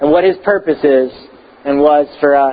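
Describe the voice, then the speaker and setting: A man speaks with an American accent at a moderate pace. His intonation stays fairly even. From Texas. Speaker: pastor. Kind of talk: sermon. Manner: hesitant, many fillers.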